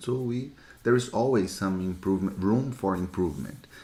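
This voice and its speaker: At a moderate pace, a man with a Brazilian accent speaks in a dark, mellow tone. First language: Portuguese. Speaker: lean six sigma instructor. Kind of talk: live Q&A teaching session. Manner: repetitive, halting.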